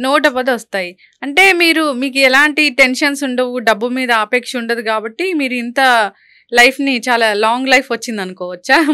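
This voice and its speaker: A woman's raised, projected voice, high in pitch with a bright, sharp tone and ordinary pitch variation, on a very clean recording with a silent background. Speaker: interviewer. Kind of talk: studio interview questions.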